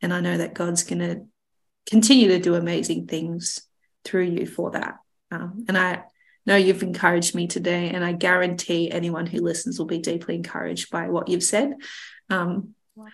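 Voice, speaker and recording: A woman's fairly low-pitched voice with vocal fry and fairly even intonation. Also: moderate pace. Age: 20s. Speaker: podcast host. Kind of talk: casual chat.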